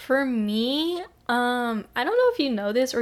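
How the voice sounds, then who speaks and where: This is a woman with a fairly high pitch. Her pitch rises and falls in an ordinary way. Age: 20s. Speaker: podcast co-host. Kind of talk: casual chat.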